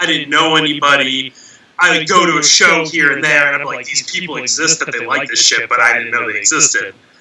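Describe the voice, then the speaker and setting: A man's fairly high voice with an American accent, fairly even intonation and a fairly quick pace, over noticeable background noise. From Massachusetts, US. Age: 30s. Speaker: death metal musician. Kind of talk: casual chat.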